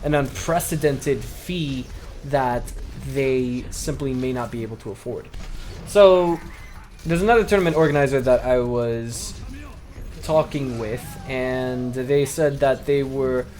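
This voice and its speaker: Over music in the background, a man with a fairly high voice talks at a moderate pace with ordinary pitch variation. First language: not Chinese. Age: 20s. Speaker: esports commentator. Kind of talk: casual vlog monologue. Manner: hesitant, with fillers.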